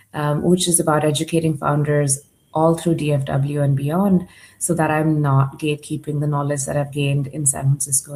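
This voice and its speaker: A woman's very deep, low voice, dark, mellow and somewhat breathy, moves at a moderate pace with monotone, flat intonation. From Dubai, UAE (Indian family). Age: 40s. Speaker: startup accelerator leader and conference speaker. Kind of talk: conference presentation.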